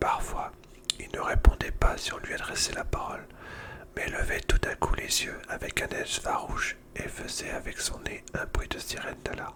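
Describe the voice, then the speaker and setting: Noticeable background noise sits behind a man who is whispering. His loudness swings widely. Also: moderate pace. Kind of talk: whispered book reading, ASMR. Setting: ASMR recording with crackling fire sound in the background. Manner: whispered, soft.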